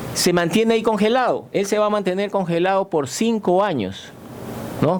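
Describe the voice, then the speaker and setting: Noticeable background noise fills the recording. Through it, a man's voice comes across. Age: 60s. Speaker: retired navy admiral. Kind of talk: radio interview. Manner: halting.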